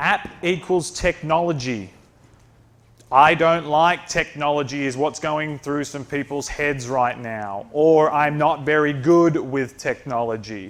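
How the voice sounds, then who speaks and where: A man with an Australian accent speaks at a fairly slow pace. His pitch is fairly high, with ordinary pitch variation. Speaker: company presenter. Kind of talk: presentation.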